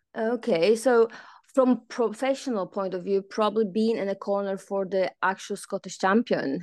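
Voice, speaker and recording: With a Polish accent, a woman speaks at a medium pitch and moderate pace, using ordinary pitch variation. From Poland. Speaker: fitness instructor and boxing coach. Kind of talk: interview. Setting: video call.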